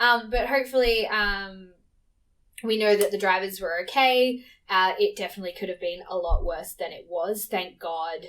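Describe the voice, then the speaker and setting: Speaking with an Australian accent, a woman uses a medium pitch that varies in an ordinary way. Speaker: podcast host, Formula 1 fan. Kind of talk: casual solo podcast chat. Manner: fast.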